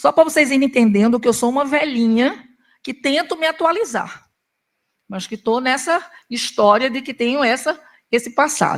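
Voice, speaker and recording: A woman's high voice at a moderate pace, with ordinary pitch variation and long, frequent pauses, on a very clean recording with a silent background. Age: 70s. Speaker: psychiatrist. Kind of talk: lecture.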